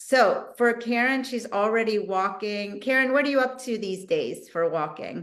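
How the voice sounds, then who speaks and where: A woman speaks at a moderate pace in a fairly high voice with ordinary pitch variation. Hers is an unremarkable speaking voice. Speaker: physical therapist. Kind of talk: exercise instruction on video call. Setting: video call.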